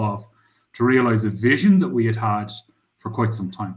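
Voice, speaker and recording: A somewhat breathy voice in a strong Irish accent. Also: man. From Ireland. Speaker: crypto startup founder. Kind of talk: interview.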